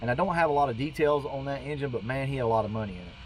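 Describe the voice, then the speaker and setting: Here a man talks at medium pitch with ordinary pitch variation. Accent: Southern US. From Georgia, US South. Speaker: car enthusiast YouTuber. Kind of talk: casual narration over old footage. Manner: rambling, conversational.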